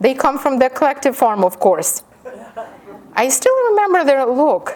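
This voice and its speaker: Delivered at a moderate pace with a Ukrainian accent, the voice makes very wide pitch swings over noticeable background noise. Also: woman, high pitch for a woman. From Ukraine. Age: 50. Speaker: professor. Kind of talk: lecture with reading aloud.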